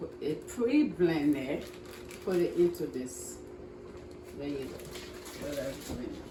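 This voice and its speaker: Long, frequent pauses break up fairly slow speech in a Liberian accent. Loudness swings widely, and background noise is noticeable. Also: woman. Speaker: home cook, cooking show host. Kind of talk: cooking demonstration talk to camera.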